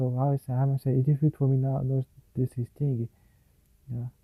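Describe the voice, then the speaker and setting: Somewhat breathy and dark and mellow in tone, a man speaks with a dry, close sound and no echo. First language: Portuguese. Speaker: English learner vlogger. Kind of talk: solo language practice monologue. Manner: halting, many fillers and restarts.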